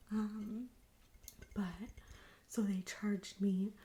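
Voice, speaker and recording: Soft-spoken and somewhat breathy, a woman speaks in a dark, mellow tone with monotone, flat intonation. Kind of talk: ASMR thrift haul, casual talk to camera. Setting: home recording, close mic.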